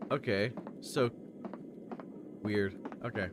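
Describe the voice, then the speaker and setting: A man's voice with noticeable background noise. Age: 20s. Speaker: streamer. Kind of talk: casual chat.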